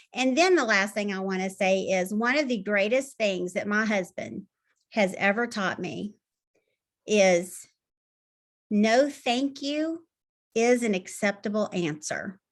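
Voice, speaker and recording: A woman speaks at a fairly slow pace with long, frequent pauses, her medium-pitched voice carrying lively intonation. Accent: Southern US. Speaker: health coach. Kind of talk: tips talk on video call.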